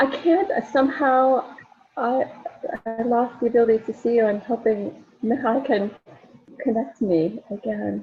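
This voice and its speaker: Over music in the background, a woman talks at a fairly slow pace with long, frequent pauses. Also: fairly high pitch for a woman, ordinary pitch variation. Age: 60s. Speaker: speaker on empowerment and spirituality. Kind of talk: casual chat.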